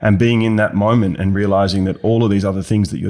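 A man with an Australian accent and a fairly low-pitched voice. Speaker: business advisor, former bank finance chief. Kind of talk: interview.

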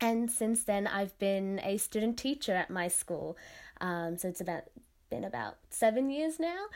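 In an Australian accent, a woman talks at a medium pitch. Her pitch swings very widely. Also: moderate pace, very clean recording, silent background. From Sydney, Australia. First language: Tamil. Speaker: classical dancer. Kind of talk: interview.

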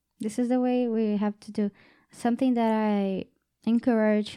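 Woman in a Portuguese accent, fairly high pitch, dark, mellow tone, monotone, flat intonation, very clean recording with a silent background. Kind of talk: casual faith conversation. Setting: studio. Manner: halting.

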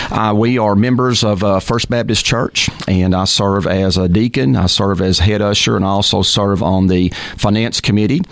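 A man with an American accent speaks at a fairly low pitch and a moderate pace, with ordinary pitch variation and very even loudness. Noticeable background noise is present. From Texas (Texarkana). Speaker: mayor and mayoral candidate. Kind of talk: radio interview.

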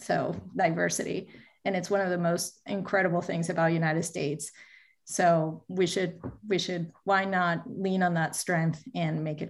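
A woman talks at a moderate pace with vocal fry. Her pitch is fairly low and her intonation fairly even. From Venezuela. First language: Spanish. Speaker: marketing executive. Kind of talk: interview.

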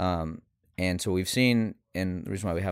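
A man with an American accent talks in a very deep, low voice with ordinary pitch variation, recorded very cleanly against a silent background. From US South, Houston, Texas. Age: 30s. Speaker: startup founder and CEO. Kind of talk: interview.

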